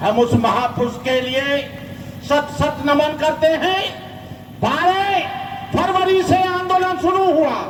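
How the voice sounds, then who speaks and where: Over noticeable background noise and audible room echo, a man speaks at an extremely high pitch with very even loudness. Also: ordinary pitch variation. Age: 70s. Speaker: Buddhist monk. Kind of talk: speech at protest rally. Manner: impassioned.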